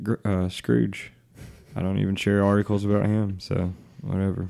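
On a very clean recording with a silent background, a man with an Alabama accent speaks at a moderate pace in a fairly low voice with a dark, mellow tone. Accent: Southern US (Alabama). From US South. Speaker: podcast co-host. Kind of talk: casual chat.

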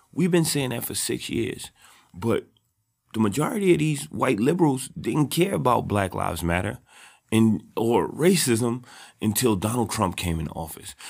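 A man with a New York accent, animated tone, vocal fry and very wide pitch swings, at a moderate pace with long, frequent pauses. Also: very clean recording, silent background. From New York City, South Bronx. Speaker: activist. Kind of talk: heated debate.

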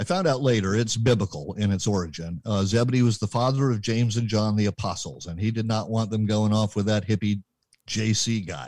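A man speaks at a fairly quick pace in an ordinary speaking voice, fairly low in pitch with ordinary pitch variation. The recording is very clean, with a silent background. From US West Coast, Berkeley, California. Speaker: radio DJ and program director. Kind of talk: casual chat. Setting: home studio.

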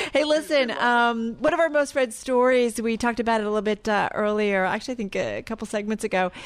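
A woman's fairly high-pitched, unremarkable speaking voice with ordinary pitch variation, on a very clean recording with a silent background. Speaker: radio business show host. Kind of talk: business radio interview. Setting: studio. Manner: casual, hedging.

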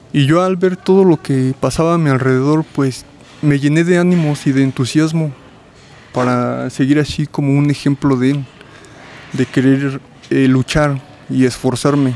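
The speech moves at a fairly slow pace with fairly even intonation and long, frequent pauses, with noticeable background noise behind it. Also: man, very even loudness. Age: 30s. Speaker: prison inmate with schizophrenia. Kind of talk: interview testimony. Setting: psychiatric prison center.

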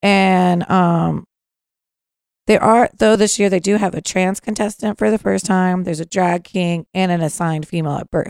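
In a very clean recording with a silent background, an ordinary speaking voice with an American accent moves at a moderate pace with ordinary pitch variation. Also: woman, medium pitch for a woman. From US, Northern Virginia. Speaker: podcast co-host. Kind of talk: casual chat.

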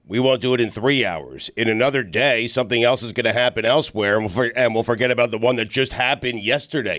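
A man with a plain, everyday voice, medium pitch, ordinary pitch variation and a fairly quick pace, on a very clean recording with a silent background. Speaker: sports talk co-host. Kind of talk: casual discussion.

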